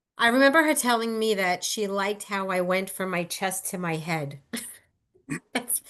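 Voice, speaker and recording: This woman has an unremarkable speaking voice and lively intonation. She talks at a moderate pace. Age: 60s. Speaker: former theater performer. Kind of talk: casual chat. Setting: video call.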